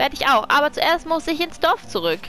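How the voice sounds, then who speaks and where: With music in the background, the speaker's voice moves through very wide pitch swings. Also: woman. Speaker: let's player. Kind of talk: casual gameplay commentary.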